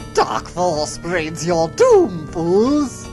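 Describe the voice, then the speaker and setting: Clear music plays in the background. Over it comes a put-on character voice at a middle pitch. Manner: menacing, theatrical.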